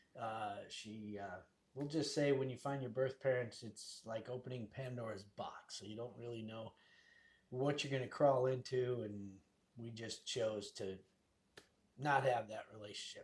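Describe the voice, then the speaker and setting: The speaker talks at a moderate pace with fairly even intonation and a somewhat breathy sound. Loudness swings widely. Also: man. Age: 60s. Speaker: real estate agent. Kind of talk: casual chat.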